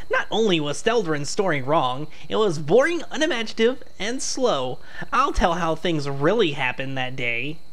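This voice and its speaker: A put-on character voice at a middle pitch moves at a moderate pace over noticeable background noise. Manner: boastful, scornful.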